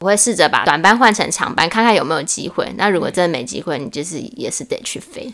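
Speaking at a very fast pace with hardly any pauses, the voice swings very widely in pitch and greatly in loudness over noticeable background noise. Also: woman, medium pitch for a woman. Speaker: former flight attendant. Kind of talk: casual chat.

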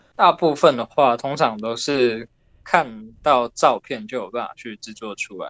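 A man speaks at a fairly slow pace and a medium pitch, with ordinary pitch variation and big swings in loudness, in a dry, close recording with no echo. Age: 20s. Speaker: miniature clay food artist. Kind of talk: interview answers. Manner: calm, reserved.

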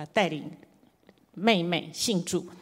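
A woman with a fairly low voice speaks at a moderate pace, her intonation lively. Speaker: preacher. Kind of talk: sermon.

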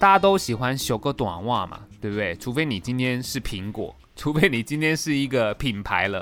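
At a moderate pace, a man with a Taiwanese accent speaks with lively intonation. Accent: Taiwanese Mandarin. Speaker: voice actor and podcast host. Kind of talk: casual solo podcast monologue. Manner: animated.

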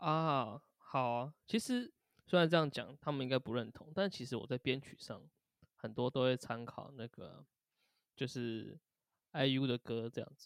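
The sound is dry and close with no echo, carrying a man's normal speaking voice at medium pitch. He speaks at a fairly slow pace with ordinary pitch variation and big swings in loudness. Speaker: band drummer. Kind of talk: casual interview chat.

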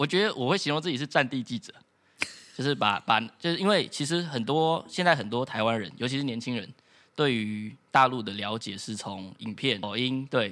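Speaking at a moderate pace with a Taiwanese accent, a man uses lively intonation at a medium pitch, and the recording is very clean with a silent background. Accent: Taiwanese Mandarin. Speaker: former exchange student. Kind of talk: casual chat.

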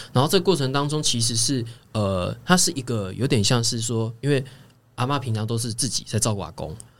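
At a fairly quick pace, a man talks in an unremarkable speaking voice with lively intonation. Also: medium pitch for a man. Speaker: home care worker. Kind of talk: casual chat.

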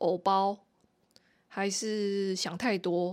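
A woman at a medium pitch with ordinary pitch variation and a very slow pace, in a very clean recording with a silent background. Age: 40s. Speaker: podcast host. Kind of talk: casual solo monologue. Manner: halting, many fillers.

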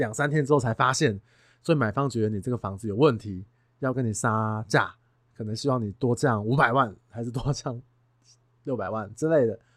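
A medium-pitched male voice with ordinary pitch variation on a very clean recording with a silent background. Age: 30s. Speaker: real estate agent and podcast host. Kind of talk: casual monologue. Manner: animated.

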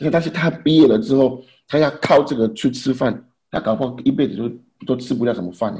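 Very fast and somewhat breathy, a man speaks at medium pitch with a dark, mellow tone. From Haiti. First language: French (speaking Chinese). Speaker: immigrant husband and father. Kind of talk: casual chat. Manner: halting.

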